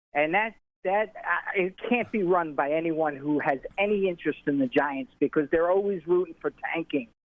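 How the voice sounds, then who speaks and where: High-pitched male voice at a moderate pace with ordinary pitch variation. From New York. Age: 60s. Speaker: caller. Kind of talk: call-in comment. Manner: halting.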